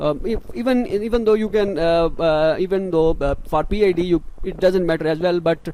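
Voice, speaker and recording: Speaking at a moderate pace, a man uses a high pitch. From Pakistan. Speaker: scholarship advice youtuber. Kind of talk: tutorial. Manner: halting; unscripted.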